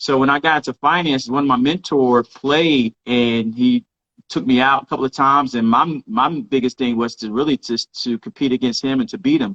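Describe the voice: With a fairly bright tone and fairly even intonation, the speech goes at a moderate pace in a dry, close sound with no echo. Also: man, medium pitch for a man.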